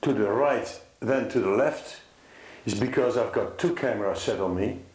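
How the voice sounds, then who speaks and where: With a Dutch accent, a man talks at a moderate pace with ordinary pitch variation, and audible room echo surrounds his voice. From Netherlands. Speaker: concerned father. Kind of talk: personal testimony to camera. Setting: filmed with two cameras. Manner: halting.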